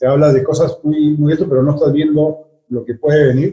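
A man speaks with a fairly high pitch and a somewhat breathy quality. His tone is dark and mellow. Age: 50s. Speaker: business executive. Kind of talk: interview. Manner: halting, many fillers and repetitions.

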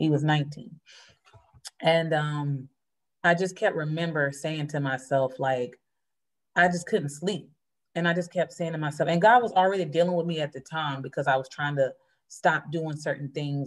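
A woman with an American accent, very deep, low pitch, ordinary pitch variation and a moderate pace. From North Carolina. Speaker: church member. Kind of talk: testimony.

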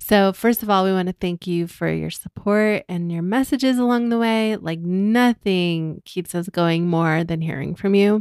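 An unremarkable speaking voice at a moderate pace, with ordinary pitch variation, hardly any pauses, and a dry, close sound with no echo. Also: woman, medium pitch for a woman. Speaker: podcast host, digital nomad. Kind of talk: casual conversation.

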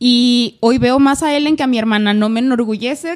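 A woman speaks with a Mexican accent. Her pitch is high and her pace is moderate. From Mexico, Aguascalientes. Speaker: podcast co-host. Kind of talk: casual chat.

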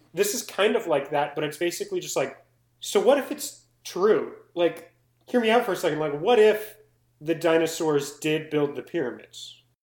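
A man speaks with an American accent. His voice is high, with lively intonation. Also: moderate pace. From US South. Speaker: podcast co-host. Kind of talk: casual chat. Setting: home recording, laptop mic.

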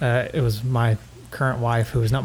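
In a Southern US accent, a man with a somewhat breathy, medium-pitched voice talks at a fairly quick pace with monotone, flat intonation. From East Tennessee. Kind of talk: casual chat.

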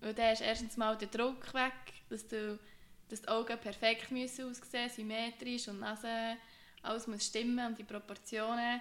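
At a moderate pace, a woman with an ordinary speaking voice talks at a fairly high pitch. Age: 20s. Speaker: podcast co-host, occupational therapy student. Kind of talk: casual chat.

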